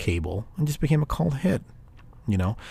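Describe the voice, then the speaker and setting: Very fast, somewhat breathy, a man speaks in a dark, mellow tone with very wide pitch swings. The recording is very clean, with a silent background. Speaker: horror film podcast host. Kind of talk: solo casual movie review monologue. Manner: halting, many fillers and restarts.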